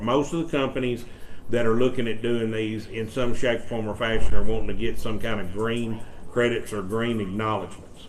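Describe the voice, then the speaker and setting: The speaker has a Mississippi accent and fairly even intonation at a moderate pace. Noticeable background noise and audible room echo are present. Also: man. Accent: US Southern (Mississippi). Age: 60s. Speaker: economic development official. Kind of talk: presentation to a county board. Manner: halting, many fillers and repeats.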